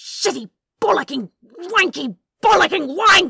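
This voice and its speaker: A put-on character voice, pitched extremely high and growling, delivered at a moderate pace. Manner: angry, spitting curses, exasperated.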